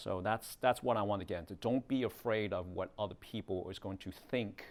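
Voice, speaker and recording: Speaking with a Chinese accent, a man uses a fairly low pitch, fairly even intonation and a moderate pace. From Hong Kong, moved to North America at nine. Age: 40s. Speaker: realtor teaching a video marketing class. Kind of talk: workshop lecture. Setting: classroom with small live audience. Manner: casual, conversational.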